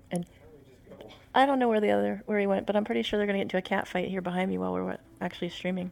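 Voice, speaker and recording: A soft-spoken woman talks at a very fast pace, broken by long, frequent pauses. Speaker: podcast co-host. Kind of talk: casual chat. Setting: livestream at home. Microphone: too quiet.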